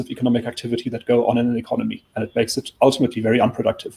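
Speaking at a very fast pace, a man uses a medium pitch and a dark, mellow tone. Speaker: think tank chief of staff; guest. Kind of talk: current affairs discussion. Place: office.

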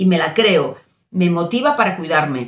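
In a Spanish accent, a woman with a fairly low pitch and somewhat breathy voice talks at a moderate pace with lively intonation amid audible room echo. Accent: Peninsular Spanish. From Spain. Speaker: doctor and nutrition coach; nutrition coach. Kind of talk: casual talk to camera. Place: home room.

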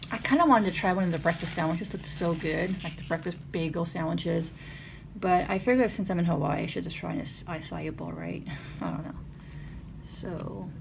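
Speaking at a fairly quick pace, a woman shows big swings in loudness over noticeable background noise. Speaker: vlogger. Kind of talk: casual vlog chat. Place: home room. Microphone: phone near.

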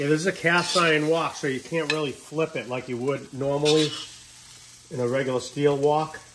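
Moderate pace over noticeable background noise. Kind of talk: casual cooking tutorial chat. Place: kitchen. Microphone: phone near.

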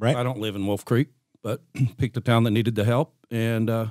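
A man speaks against a quiet background. The sound is dry, with no echo. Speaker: podcast guest. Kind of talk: interview answer. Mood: relaxed, friendly storytelling. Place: studio. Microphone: studio mic.

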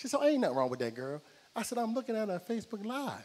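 Talking at a very fast pace, this man has a high pitch and an animated tone. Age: 40s. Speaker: stand-up comedian. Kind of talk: stand-up. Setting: stage with audience. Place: stage. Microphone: handheld.

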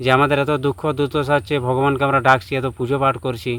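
This man speaks at a medium pitch with fairly even intonation. His tone is bright and sharp. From West Bengal, Bankura district. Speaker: astrologer. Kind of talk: astrology talk to camera.

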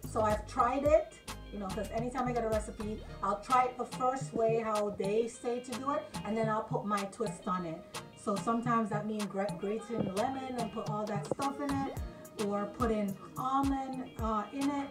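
A woman talks at a moderate speed while clear music plays behind her. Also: ordinary pitch variation. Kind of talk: cooking tutorial. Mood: relaxed, humorous. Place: kitchen. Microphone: camera far.

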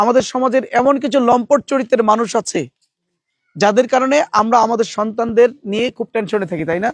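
Ordinary pitch variation in a dry, close sound with no echo. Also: man, extremely high pitch for a man. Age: 40s. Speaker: political candidate. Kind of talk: campaign speech.

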